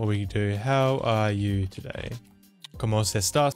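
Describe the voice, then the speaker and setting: With faint music in the background, a man talks with ordinary pitch variation. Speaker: tech tutorial creator. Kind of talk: tutorial. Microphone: studio mic.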